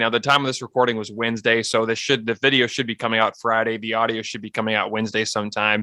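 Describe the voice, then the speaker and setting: On a very clean recording with a silent background and a dry, close sound with no echo, a man with an American accent talks at a medium pitch in a bright, sharp tone, at a very fast pace with hardly any pauses. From Iowa, US Midwest. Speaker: sports podcast host. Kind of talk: casual chat.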